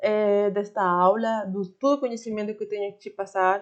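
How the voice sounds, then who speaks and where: A woman with a Spanish accent speaks in a fairly high pitch with ordinary pitch variation. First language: Spanish (speaking Portuguese). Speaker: online Spanish teacher. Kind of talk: online lesson. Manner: halting, with frequent fillers.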